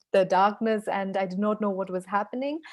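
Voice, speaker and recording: The voice belongs to a woman with a Nepali accent. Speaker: author. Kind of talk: webinar presentation. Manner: halting, many fillers.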